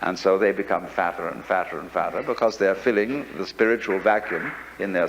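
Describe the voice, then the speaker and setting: Someone speaks with an English accent against noticeable background noise. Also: man. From England. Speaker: philosopher and lecturer. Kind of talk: philosophy lecture.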